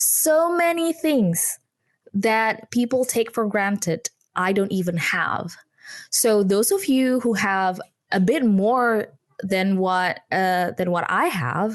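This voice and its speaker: Keeping her loudness very even, a woman with a fairly high pitch talks very slowly with lively intonation. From Indonesia. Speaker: entrepreneur and communication consultant. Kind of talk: podcast interview.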